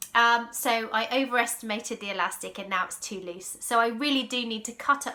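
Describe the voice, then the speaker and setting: In an English accent, the voice moves at a fairly quick pace with a bright, sharp tone and ordinary pitch variation. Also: woman. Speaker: sewing vlogger. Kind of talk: casual vlog talk. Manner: loud.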